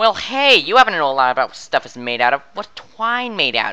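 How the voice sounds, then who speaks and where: A man puts on a character voice, high-pitched and fairly quick, with very wide pitch swings and big swings in loudness. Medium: machinima.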